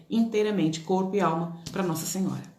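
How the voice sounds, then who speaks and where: With noticeable background noise and audible room echo, a woman talks in fairly even intonation. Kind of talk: religious teaching. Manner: fast.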